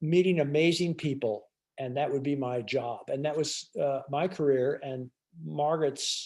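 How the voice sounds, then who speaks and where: Over a quiet background, a man speaks with a dark, mellow tone at a fairly high pitch, with ordinary pitch variation. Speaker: restaurant owner. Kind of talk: illustrated talk. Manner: fast; halting.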